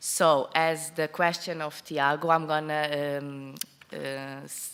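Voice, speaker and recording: A woman with a non-native accent talks in a very deep, low pitch, her intonation fairly even. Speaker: tourism project representative. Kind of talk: conference presentation. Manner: halting.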